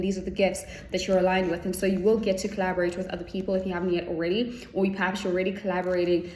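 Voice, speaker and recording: A woman with a medium-pitched voice speaks at a very fast pace. Audible room echo and noticeable background noise accompany her. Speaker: tarot reader. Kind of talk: spiritual tarot reading.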